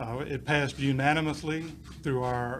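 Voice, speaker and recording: A man's medium-pitched voice at a moderate pace, fairly even in intonation, with audible room echo. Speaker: police chief. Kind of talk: press conference speech. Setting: press conference.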